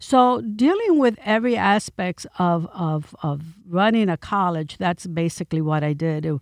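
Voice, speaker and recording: With a Spanish accent, a woman talks at a fairly slow pace in a fairly low voice, her intonation lively and her speech running on with hardly any pauses. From New York City (Bronx), Puerto Rican family. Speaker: county commissioner. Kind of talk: interview.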